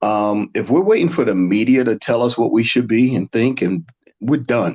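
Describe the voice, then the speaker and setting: A man uses a normal speaking voice at medium pitch, moving at a moderate pace with ordinary pitch variation. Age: 60s. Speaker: panel guest. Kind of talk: panel discussion.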